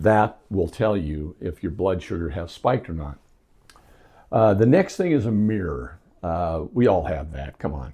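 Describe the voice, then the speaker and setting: A man with an American accent, very deep and low in pitch, with a dark, mellow tone, vocal fry, and a fairly slow pace. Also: quiet background. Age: 60s. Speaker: health vlogger. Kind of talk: casual tutorial.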